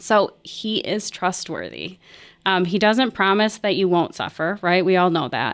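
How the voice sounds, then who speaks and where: At a fairly slow pace and medium pitch, a woman speaks in a plain, everyday voice with ordinary pitch variation on a very clean recording with a silent background. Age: 40s. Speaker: counselor. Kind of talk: casual chat.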